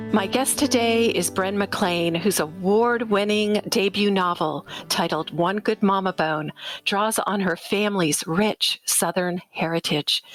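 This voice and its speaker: A woman speaks at a fairly slow pace in an unremarkable speaking voice, medium in pitch with ordinary variation. The sound is dry and close, with no echo. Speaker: podcast host. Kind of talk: podcast intro.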